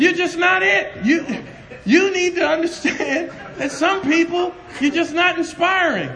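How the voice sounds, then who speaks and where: Over noticeable background noise, a man talks loudly at a moderate pace. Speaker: preacher. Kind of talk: sermon. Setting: class with audience. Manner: animated.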